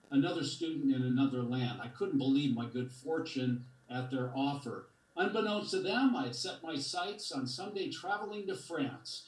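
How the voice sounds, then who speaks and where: The man's voice is fairly high-pitched, with lively intonation at a moderate pace. Audible room echo and noticeable background noise are present. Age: 70s. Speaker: community member speaking at public comment. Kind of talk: prepared public comment. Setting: video call. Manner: storytelling.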